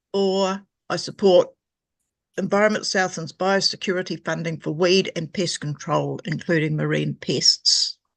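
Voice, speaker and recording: Someone with a New Zealand accent speaks at a fairly slow pace over a quiet background. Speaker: environmental group member making a submission. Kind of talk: reading a prepared submission at a council hearing. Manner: formal.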